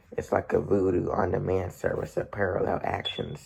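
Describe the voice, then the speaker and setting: A man speaks at a moderate pace in a raspy, put-on character voice. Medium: read story. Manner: cryptic, dry.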